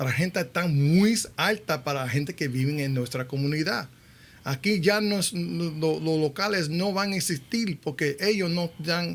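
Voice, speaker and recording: Speaking in a strong Connecticut accent, the voice shows ordinary pitch variation. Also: man, fairly high pitch for a man, moderate pace, very clean recording, silent background. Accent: New Haven accent, thick. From New Haven, Connecticut, US. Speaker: radio show host. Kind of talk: interview, bilingual Spanish-English talk show.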